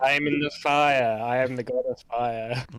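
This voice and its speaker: In a booming, put-on character voice, a man speaks at a medium pitch. His pace is moderate. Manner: grandiose, declaring.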